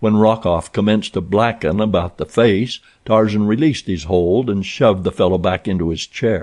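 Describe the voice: The speaker gives a plain reading aloud.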